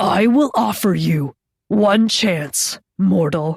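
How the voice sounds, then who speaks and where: A woman growls in a put-on character voice of medium pitch. She goes at a very slow pace with lively intonation. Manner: menacing.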